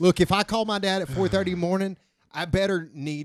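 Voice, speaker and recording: On a very clean recording with a silent background, a man with an Alabama accent speaks at high pitch and a moderate pace. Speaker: podcast guest. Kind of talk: casual chat.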